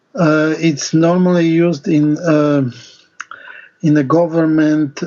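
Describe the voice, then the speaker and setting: The speaker has a non-native accent. The delivery comes at a very slow pace. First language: not English. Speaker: discussion participant. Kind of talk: group discussion. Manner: halting.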